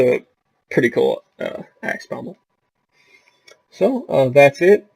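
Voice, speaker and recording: Man in a slight Southern US accent, speaking at a fairly slow pace with a dry, close sound and no echo. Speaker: gaming YouTuber. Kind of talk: game tutorial commentary. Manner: casual with frequent fillers. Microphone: poor quality mic.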